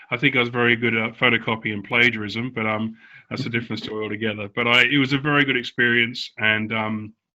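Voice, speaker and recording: A very fast man with an Australian accent, medium pitch and monotone, flat intonation. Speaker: former professional cricketer. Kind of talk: casual interview. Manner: hesitant with fillers.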